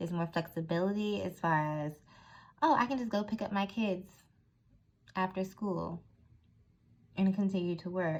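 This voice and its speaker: A woman's somewhat breathy, medium-pitched voice at a moderate pace, with ordinary pitch variation and long, frequent pauses. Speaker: tarot reader. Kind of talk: tarot reading monologue.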